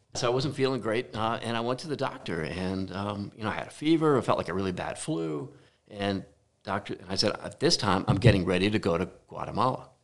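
Using an unremarkable speaking voice, a man speaks fairly quickly at a fairly low pitch with lively intonation. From New Jersey. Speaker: architect. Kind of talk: casual chat. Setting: home garage studio.

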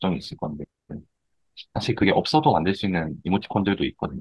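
A man talks in a very deep, low voice. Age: 30s. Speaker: emoticon artist. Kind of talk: interview.

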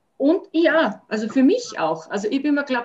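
Somewhat breathy, a woman speaks at a fairly slow pace. Her pitch swings very widely. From Austria, Salzburg region. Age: 50s. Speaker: dog owner and dog sitter. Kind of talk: casual interview chat.

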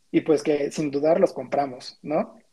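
Fairly high-pitched with a dark, mellow tone, a man speaks at a moderate pace with fairly even intonation. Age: 20s. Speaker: graphic designer. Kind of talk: casual chat.

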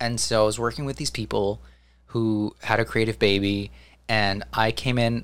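A man talks at a moderate pace with an American accent, his pitch fairly low and his intonation fairly even. It is an ordinary speaking voice, captured in a very clean recording with a silent background. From New Jersey, US. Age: 20s. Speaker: theatrical sound designer. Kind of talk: casual chat.

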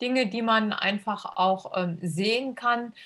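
Fairly even in intonation and fairly high in pitch, a woman's voice is captured in a very clean recording with a silent background. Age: 50s. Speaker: school integration assistant. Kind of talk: podcast interview. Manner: hesitant with many fillers.

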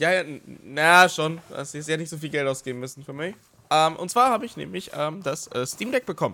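The voice has a bright, sharp tone, with big swings in loudness. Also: man, fairly high pitch for a man, moderate pace. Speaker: podcast co-host. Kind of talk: casual chat. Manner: animated.

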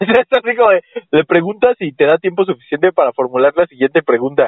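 With a Mexican accent, a man speaks at a fairly quick pace in a high pitch, with lively intonation. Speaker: podcast host. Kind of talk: casual comedic chat.

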